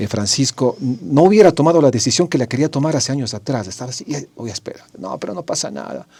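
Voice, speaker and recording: Using vocal fry, a man with a medium pitch and a dark, mellow tone talks at a fairly quick pace with lively intonation. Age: 60s. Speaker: radio host. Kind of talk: interview.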